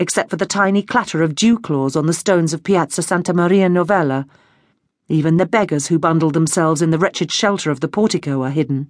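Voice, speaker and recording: Speaking in an unremarkable speaking voice, a woman talks at a fairly quick pace with a fairly low pitch. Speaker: audiobook narrator. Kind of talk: dramatic audiobook narration of a historical novel. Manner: measured, atmospheric, vividly descriptive.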